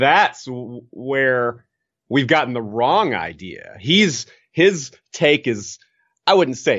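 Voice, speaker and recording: Here a man has a plain, everyday voice. His intonation is lively. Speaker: podcaster. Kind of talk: casual chat.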